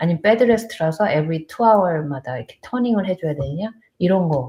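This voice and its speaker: Very fast speech with lively intonation. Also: woman. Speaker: nurse. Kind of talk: live stream chat. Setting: live stream on borrowed laptop. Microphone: laptop mic, unsure if audio works.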